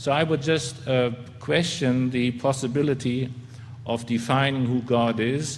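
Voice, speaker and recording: Over noticeable background noise, the speaker talks fairly slowly in a German accent with monotone, flat intonation and very even loudness. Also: man, medium pitch for a man. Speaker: theologian and historian. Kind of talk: formal debate. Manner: halting.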